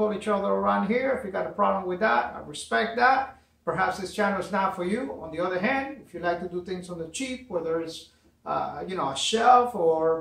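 A man at a moderate pace, with audible room echo. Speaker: DIY channel host. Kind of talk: casual vlog chat. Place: garage. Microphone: camera far.

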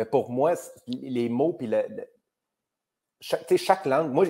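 A man's fairly slow speech with a Quebec accent. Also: quiet background. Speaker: comedian. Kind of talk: casual chat. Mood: relaxed, reflective. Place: home room.

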